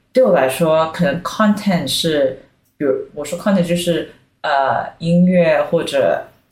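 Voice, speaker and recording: Speaking at a very slow pace, a woman with a fairly low pitch sounds somewhat breathy, with ordinary pitch variation. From Singapore. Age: 30s. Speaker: brand consultant. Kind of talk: casual chat.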